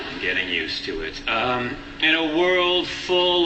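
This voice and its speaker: A fairly high-pitched man's voice at a fairly slow pace, with noticeable background noise. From Canada. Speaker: stand-up comedian. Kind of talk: stand-up comedy set.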